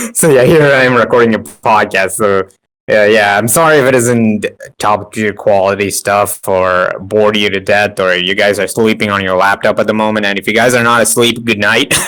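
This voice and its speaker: Mumbling, a man speaks at a moderate pace. His pitch is fairly low, with ordinary variation. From India. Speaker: anime fan and podcaster. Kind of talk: casual chat.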